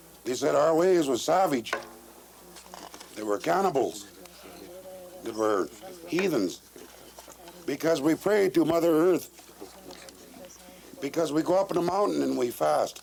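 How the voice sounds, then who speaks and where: With an American accent and lively intonation, a man speaks in a fairly high pitch at a fairly slow pace, leaving long, frequent pauses over noticeable background noise. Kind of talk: speech at a traditional meeting circle. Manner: earnest, impassioned.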